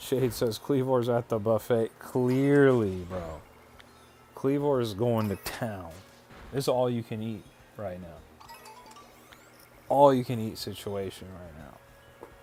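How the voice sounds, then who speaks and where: A man at medium pitch with ordinary pitch variation, very slow and full of long, frequent pauses, music in the background. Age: 30s. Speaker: gaming streamer. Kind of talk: live stream chat. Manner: animated.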